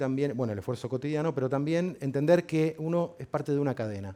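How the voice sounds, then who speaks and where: The speaker has a dark, mellow tone, ordinary pitch variation and a fairly quick pace. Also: man. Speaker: neuroscience researcher and psychologist. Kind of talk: public lecture. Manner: fast.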